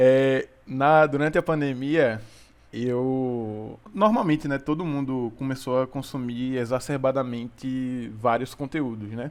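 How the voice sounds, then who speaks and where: In a quiet background, a man speaks at a very slow pace and medium pitch. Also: ordinary pitch variation. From Sergipe, Brazil. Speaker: physics student and podcast co-host. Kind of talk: casual chat. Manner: hesitant, many repetitions and fillers.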